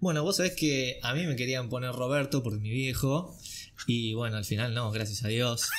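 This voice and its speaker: Someone talks with a Rioplatense accent over light background noise. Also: man, medium pitch for a man, ordinary pitch variation, moderate pace. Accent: Argentine Rioplatense Spanish. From Argentina. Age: 20s. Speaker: acting student; podcast host. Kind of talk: casual chat. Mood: relaxed, cheerful. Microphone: studio mic.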